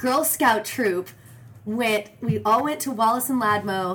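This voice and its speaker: A woman speaks very slowly in a fairly high voice. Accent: American. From Arizona, Phoenix area. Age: 30s. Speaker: actress and singer. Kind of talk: casual chat. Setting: in a home.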